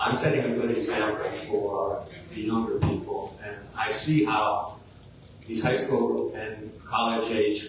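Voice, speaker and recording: A man's medium-pitched voice at a very slow pace, ordinary pitch variation, with audible room echo and noticeable background noise. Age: 60s. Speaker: city council applicant. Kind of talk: interview. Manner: halting.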